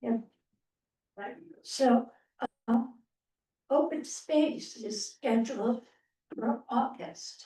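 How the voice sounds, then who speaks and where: Loud and high-pitched, a woman speaks very slowly in a dark, mellow tone with long, frequent pauses. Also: ordinary pitch variation. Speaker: committee chair. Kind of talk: public meeting discussion.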